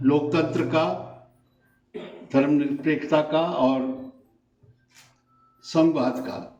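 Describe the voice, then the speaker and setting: Amid audible room echo, a man speaks at a fairly high pitch in a monotone, flat intonation, with long, frequent pauses. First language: not Hindi (speaking Hindi). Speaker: invited speaker at memorial discussion. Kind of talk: political speech at memorial meeting. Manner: formal.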